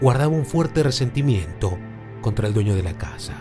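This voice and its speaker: A man speaks with music playing in the background. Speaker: podcast narrator / locutor. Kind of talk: true-crime podcast narration.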